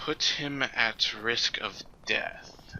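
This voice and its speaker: A man performs a put-on character voice. Clear background noise sits behind him. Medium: actual play. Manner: fussy, officious.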